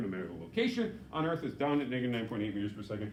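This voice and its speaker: Speaking at a very fast pace, a man with a medium pitch is heard with audible room echo. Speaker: physics teacher. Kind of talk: lecture.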